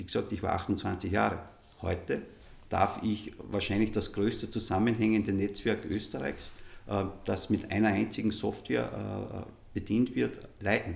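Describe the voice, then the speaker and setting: Speaking at a fairly slow pace, a man with a fairly low pitch and vocal fry shows ordinary pitch variation. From Upper Austria, Innviertel. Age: 50s. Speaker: football association executive. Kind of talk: interview.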